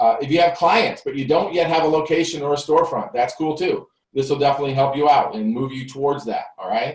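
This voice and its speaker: This man talks very fast with hardly any pauses, his fairly high voice somewhat breathy and ordinary in pitch variation. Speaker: tax business coach. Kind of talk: live webinar presentation. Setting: home recording studio, live broadcast. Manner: animated.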